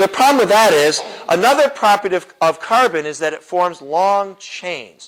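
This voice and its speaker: Lively intonation and an animated tone mark this man's high-pitched voice. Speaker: apologetics teacher and chemistry professor. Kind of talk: lecture. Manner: fast.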